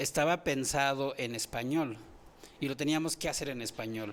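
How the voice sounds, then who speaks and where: With a Chiapas accent, a man talks at a fairly slow pace in a fairly high pitch, his pitch varying in an ordinary way. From Chiapas, Mexico (Venustiano Carranza). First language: Tzotzil (speaking Spanish). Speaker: poet and anthropologist. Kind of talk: radio interview. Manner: halting, many repetitions.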